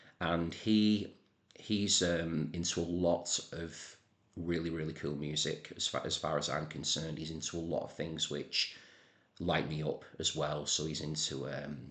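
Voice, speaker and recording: Very deep and low, a man with a northern English accent talks at a fairly slow pace with fairly even intonation. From northern England. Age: 40s. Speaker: music channel creator. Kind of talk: casual monologue to camera. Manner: hesitant, many fillers and repeats.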